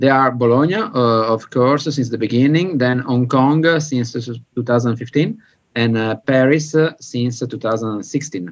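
A man with an Italian accent, medium in pitch, at a very slow pace with ordinary pitch variation. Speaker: film restoration lab director. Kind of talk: interview.

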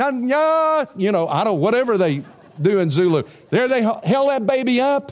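Speaking with an extremely high pitch and a Southern US accent, a man sounds animated, his pitch swinging very widely. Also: moderate pace. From US South, South Carolina. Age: 60s. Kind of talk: sermon. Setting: church.

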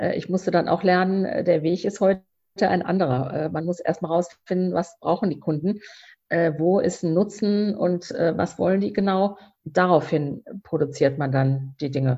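Somewhat breathy, a woman with a fairly low pitch talks at a moderate pace with ordinary pitch variation. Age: 50s. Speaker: founder of a cork bag label. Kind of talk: interview. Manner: hesitant with many fillers.

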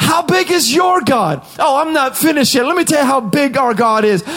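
A man shouts at an extremely high pitch, in a passionate tone with lively intonation. Music plays in the background. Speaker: preacher. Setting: studio. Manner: high-energy, exhorting, punchy declarations.

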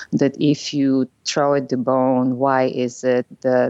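Her voice is very deep and low in pitch, with a Bulgarian accent. The woman speaks in a monotone, flat intonation. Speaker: psychotherapist. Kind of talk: podcast interview.

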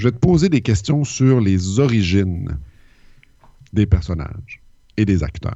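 With a Quebec accent, a man speaks at a fairly slow pace in a fairly low, somewhat breathy voice with lively intonation and long, frequent pauses. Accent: Québécois French. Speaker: podcast co-host. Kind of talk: casual chat.

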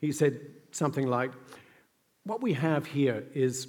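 A man with an Australian accent speaks at a moderate pace, his medium pitch moving with ordinary variation. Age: 60s. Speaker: event host and interviewer. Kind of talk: onstage interview. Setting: stage with audience.

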